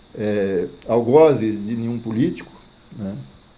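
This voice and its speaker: A man's dark, mellow voice, medium in pitch with ordinary pitch variation. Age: 70s. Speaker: pioneer settler and author. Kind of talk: interview. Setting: at his home.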